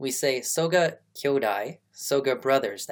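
Reading aloud in a natural voice, the speaker keeps a fairly even intonation against a quiet background.

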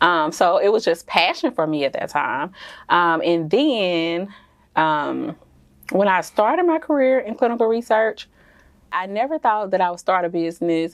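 Speaking at a moderate pace with an American accent, the woman has a medium pitch and very wide pitch swings. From US South, Jackson, Mississippi. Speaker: business founder. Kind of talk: interview.

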